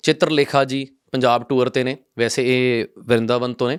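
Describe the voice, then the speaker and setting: A man speaks in a Punjabi accent at a medium pitch. His intonation is monotone and flat, and the sound is dry and close with no echo. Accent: Punjabi-accented Hindi, weak Hindi. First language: Punjabi (speaking Hindi). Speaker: talk show host. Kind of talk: interview.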